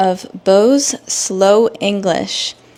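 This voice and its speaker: The speaker is a woman. Her pitch shows ordinary variation. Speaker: English teacher. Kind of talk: tutorial. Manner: normal native pace in this episode.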